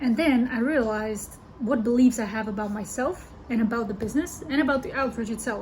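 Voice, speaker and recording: A woman talks at a fairly quick pace with a non-native accent. Her voice is high, with ordinary pitch variation. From Europe. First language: not English. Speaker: business coach. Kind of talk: online video monologue. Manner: casual, with fillers.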